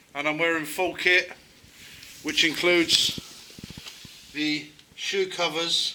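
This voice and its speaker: A man talks in a high voice with monotone, flat intonation. Noticeable background noise can be heard. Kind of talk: casual talk to camera.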